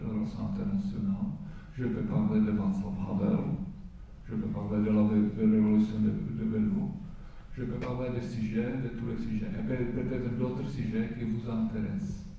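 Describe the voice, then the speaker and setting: The speaker goes at a fairly slow pace, with noticeable background noise and audible room echo. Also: man. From Czech Republic. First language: Czech (speaking French). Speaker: diplomat. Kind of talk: talk to students with Q&A.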